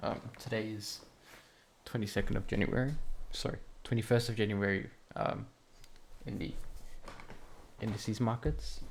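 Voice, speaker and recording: A man talks quietly. His pace is moderate. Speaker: trading educator. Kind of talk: tutorial. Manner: hesitant.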